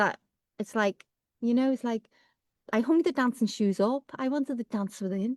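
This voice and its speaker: A woman with a Liverpool accent speaks at a fairly high pitch in a dry, close sound with no echo, on a very clean recording with a silent background. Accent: Liverpool (Scouse). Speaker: Ayurveda practitioner, guest. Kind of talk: casual chat.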